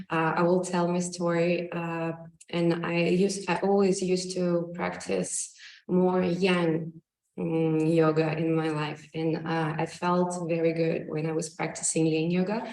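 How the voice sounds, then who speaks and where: A woman's fairly low, monotone voice with flat intonation at a fairly slow pace, with audible room echo. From Russia and Ukraine. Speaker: yoga teacher. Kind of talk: personal talk. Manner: halting.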